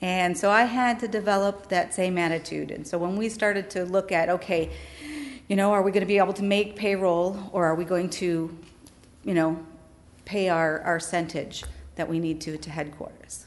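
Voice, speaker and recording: A woman with an American accent talks at a moderate pace and medium pitch. She has an ordinary speaking voice with fairly even intonation. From Wisconsin. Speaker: pastor. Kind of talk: testimony.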